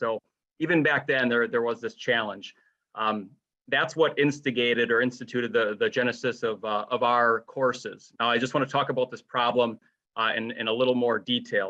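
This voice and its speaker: A man's medium-pitched voice has a bright, sharp tone and fairly even intonation, set against a quiet background. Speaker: online training company representative. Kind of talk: webinar presentation. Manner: fast.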